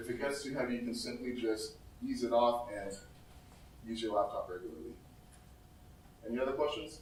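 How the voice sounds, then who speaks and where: Amid noticeable background noise and audible room echo, a man talks at a fairly quick pace with fairly even intonation and long, frequent pauses. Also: medium pitch for a man. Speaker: startup founder. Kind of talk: product pitch and Q&A. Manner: fast.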